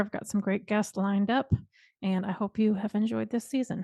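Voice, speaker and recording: A somewhat breathy woman at a medium pitch with fairly even intonation, in a dry, close sound with no echo and a quiet background. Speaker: podcast host. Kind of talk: podcast intro.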